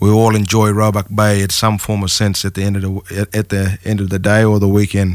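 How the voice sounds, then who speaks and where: A man's fairly low-pitched voice at a fairly quick pace. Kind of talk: radio interview. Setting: studio. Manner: halting, many fillers.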